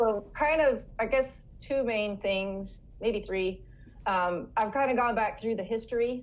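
A normal speaking voice from a woman, fairly high in pitch, fairly slow, with ordinary pitch variation. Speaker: author and speaker; homeschooling mother. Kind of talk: casual interview chat.

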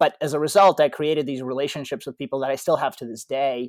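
A man with a Russian accent, fairly high-pitched, talking at a very fast pace. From Ukraine, moved to US at 12. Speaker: tech startup founder and CEO. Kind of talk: interview. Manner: halting, with frequent repetitions.

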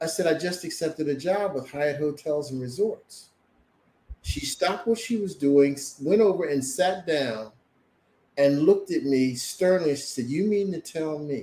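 A man speaks in an unremarkable speaking voice at a fairly high pitch. His pace is moderate and his pitch variation ordinary. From US Northeast (Camden, New Jersey). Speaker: motivational speaker and sales trainer. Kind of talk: testimony.

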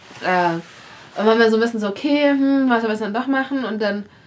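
Against noticeable background noise, a woman talks at a fairly quick pace with a fairly high pitch and ordinary pitch variation. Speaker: travel podcaster on a cycling trip. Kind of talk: casual chat. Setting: guesthouse in a mountain village.

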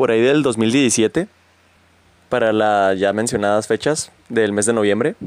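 A man with a Mexican accent talks at medium pitch in a relaxed tone with lively intonation. The sound is dry and close, with no echo. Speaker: podcaster. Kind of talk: casual monologue. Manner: informal, relaxed.

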